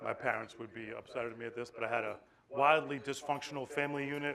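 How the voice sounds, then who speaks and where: A man talks at a very fast pace. His intonation stays monotone and flat. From Boston, Massachusetts. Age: 40s. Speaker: animal welfare regional director. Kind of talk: conference talk. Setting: stage with audience. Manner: casual, joking.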